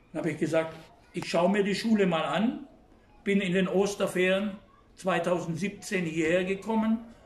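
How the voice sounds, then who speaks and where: His intonation stays fairly even and his pace fairly slow. The man's pitch is high. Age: 70s. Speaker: German teacher. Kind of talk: interview.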